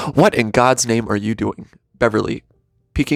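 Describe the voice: With a quiet background behind it, the speaker reads aloud plainly, pitch varying in an ordinary way.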